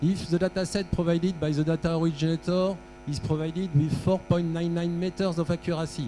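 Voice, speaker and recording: A man at a high pitch and fairly quick pace with fairly even intonation. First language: French. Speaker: workshop presenter on aeronautical data. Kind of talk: technical workshop lecture with audience quiz. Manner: halting, with frequent fillers.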